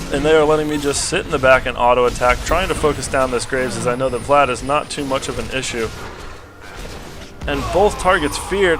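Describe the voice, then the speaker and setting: Music plays behind a man speaking at a fairly quick pace. His pitch is fairly high, with ordinary variation. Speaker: game caster. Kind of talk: gameplay commentary.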